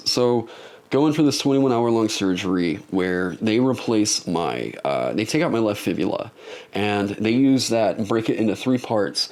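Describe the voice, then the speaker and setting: In a put-on character voice, a man hisses at a medium pitch and moderate pace with very even loudness. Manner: hissing on S sounds and lip-closing sounds.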